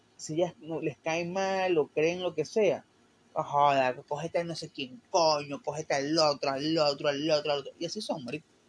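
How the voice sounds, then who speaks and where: A man with a fairly high pitch speaks fairly slowly, his intonation varying in an ordinary way. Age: 20s. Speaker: solo podcaster. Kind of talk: casual solo monologue. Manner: hesitant, with fillers and stumbles.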